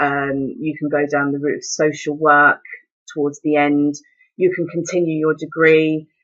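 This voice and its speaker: A woman's very deep, low voice in a southern English accent, at a moderate pace. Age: 30s. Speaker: mature university student. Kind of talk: personal testimony. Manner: hesitant, with fillers and repetitions.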